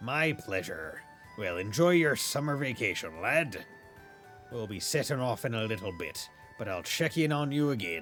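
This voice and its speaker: Over clear music in the background, a man puts on a gruff character voice at a medium pitch, moving at a moderate pace with very wide pitch swings. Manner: hearty, swashbuckling.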